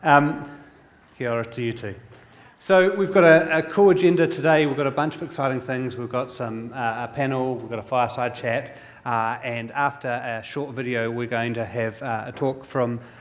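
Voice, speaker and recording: A man's medium-pitched voice in a New Zealand accent, at a moderate pace with ordinary pitch variation and audible room echo. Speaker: industry analyst and event host. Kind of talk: conference keynote hosting. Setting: stage with audience.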